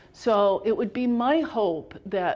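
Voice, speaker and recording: A woman with an American accent, fairly high in pitch, with lively intonation. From upstate New York. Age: 60s. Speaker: artist. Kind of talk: artist talk about own artwork. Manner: halting, with self-corrections.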